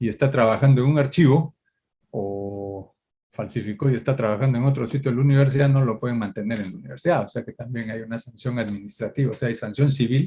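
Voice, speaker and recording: At a very fast pace, this somewhat breathy voice has a dark, mellow tone and ordinary pitch variation. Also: man, medium pitch for a man. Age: 70s. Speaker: law professor. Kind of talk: Q&A at academic event. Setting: academic event.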